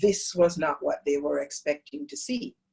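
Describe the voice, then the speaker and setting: Speaking slowly with a Jamaican accent, a woman has a fairly low pitch and ordinary pitch variation. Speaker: yoga teacher. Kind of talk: talk to a training group.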